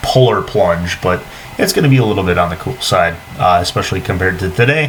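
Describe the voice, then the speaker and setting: A man's fairly quick speech with lively intonation over noticeable background noise. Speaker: meteorologist. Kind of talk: weather forecast. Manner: fast.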